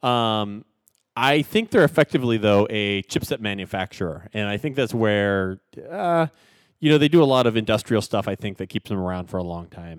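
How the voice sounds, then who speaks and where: With an American accent, a plain, everyday voice moves at a moderate pace with lively intonation, recorded very cleanly against a silent background in a dry, close sound with no echo. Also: man, fairly low pitch for a man. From US West Coast. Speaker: tech podcast co-host. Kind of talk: casual chat.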